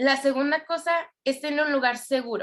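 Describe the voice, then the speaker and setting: A woman with a high pitch, ordinary pitch variation and a moderate pace. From Venezuela. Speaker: church youth volunteer. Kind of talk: testimony. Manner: hesitant, with filler sounds.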